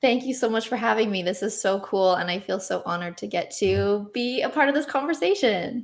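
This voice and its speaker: In a very clean recording with a silent background, a woman with a Canadian accent talks at a fairly quick pace in a fairly high pitch, hardly pausing at all. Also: lively intonation. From Canada. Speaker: niche site blogger and broker. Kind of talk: interview on live stream. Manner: upspeak, rising intonation.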